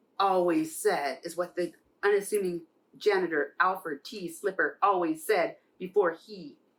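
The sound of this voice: The reading comes across in an unforced voice.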